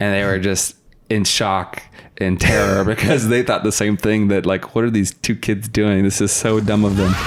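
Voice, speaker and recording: Noticeable background noise sits under a man speaking at a moderate pace, his pitch fairly low, his intonation fairly even and his loudness very even. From US West, Sacramento area (Roseville, California). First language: Russian. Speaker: podcast guest. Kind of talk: casual chat.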